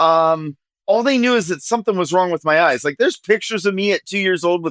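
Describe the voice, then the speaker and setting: A man speaks with a Midwestern American accent, high in pitch and with lively intonation. The sound is dry and close with no echo. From US Midwest, rural Ohio. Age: 40s. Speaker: nonprofit executive director. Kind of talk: podcast interview.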